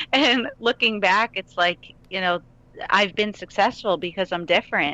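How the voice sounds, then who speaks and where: A woman's medium-pitched voice with an American accent, bright and sharp in tone, in a dry, close sound with no echo. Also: ordinary pitch variation, moderate pace. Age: 30s. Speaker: country singer-songwriter. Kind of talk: interview.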